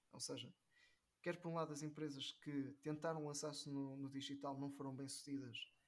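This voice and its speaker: A man talks at a very fast pace in a fairly high pitch. He speaks with a northern Portuguese accent. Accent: northern European Portuguese. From northern Portugal. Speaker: digital marketing professional. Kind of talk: casual interview chat.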